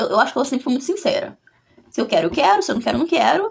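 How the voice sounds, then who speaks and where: A woman's high-pitched, animated voice with very wide pitch swings. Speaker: vlogger. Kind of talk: casual chat.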